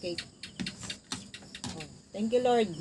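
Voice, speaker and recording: Speech comes at a fairly slow pace with ordinary pitch variation. Noticeable background noise sits behind it. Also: woman. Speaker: cooking vlogger. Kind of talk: casual vlog narration.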